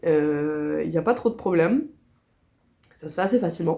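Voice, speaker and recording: A woman's fairly low voice with a dark, mellow tone, in a very clean recording with a silent background. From Switzerland. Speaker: crochet vlogger. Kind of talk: casual vlog chat. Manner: hesitant, many fillers.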